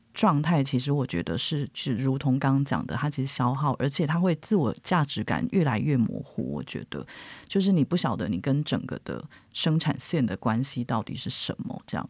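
On a very clean recording with a silent background, a woman with a very deep, low pitch and vocal fry speaks at a moderate pace with lively intonation. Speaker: editor and journalist. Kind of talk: casual interview chat.

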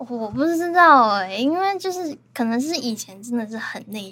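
Lively intonation from a female speaker. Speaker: podcast guest. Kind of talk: casual chat. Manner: confident, fluent talker.

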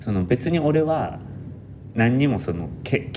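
The voice has a dark, mellow tone and a Kansai accent, moving at a fairly slow pace. Its intonation is lively, and audible room echo surrounds it. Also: man. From Japan, Nara. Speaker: architecture student. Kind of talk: casual chat.

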